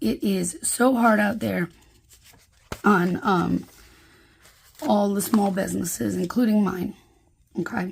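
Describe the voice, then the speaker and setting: A woman's medium-pitched voice with vocal fry and lively intonation, at a very slow pace with long, frequent pauses. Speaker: planner youtuber and sticker shop owner. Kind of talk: casual craft vlog. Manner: chatty with many fillers.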